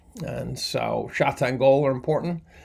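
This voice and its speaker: A man talks with vocal fry and ordinary pitch variation. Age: 60s. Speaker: chemistry professor. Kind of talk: lecture. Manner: casual, many fillers and restarts.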